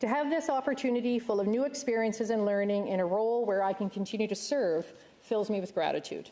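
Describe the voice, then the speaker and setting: A woman talks at a very fast pace in a Canadian accent. Her voice is medium-pitched with a dark, mellow tone and ordinary pitch variation. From Canada, Ontario. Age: 60s. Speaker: senator. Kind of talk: formal speech. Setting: legislative chamber. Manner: formal.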